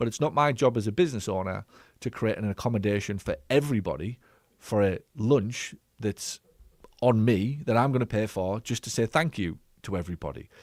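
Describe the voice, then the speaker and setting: A man talks at a medium pitch and a fairly quick pace with an English accent and ordinary pitch variation. The recording is very clean, with a silent background. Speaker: business coach and former physio clinic owner. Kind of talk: live stream Q&A commentary. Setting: live stream. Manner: fast; direct.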